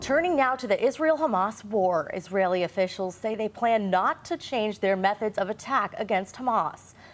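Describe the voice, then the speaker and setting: A woman with a fairly high pitch and an unremarkable speaking voice talks at a moderate pace with lively intonation and hardly any pauses. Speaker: TV news anchor. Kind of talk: local TV news anchoring.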